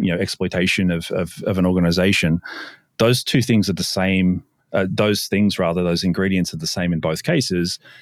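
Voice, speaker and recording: A man's very deep, low voice at a fairly quick pace with fairly even intonation, in a very clean recording with a silent background. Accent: Australian. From Sydney, Australia. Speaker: cybersecurity company founder. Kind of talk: casual interview.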